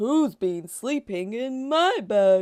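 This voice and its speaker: A woman's put-on character voice, growling and fairly high in pitch. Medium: read story.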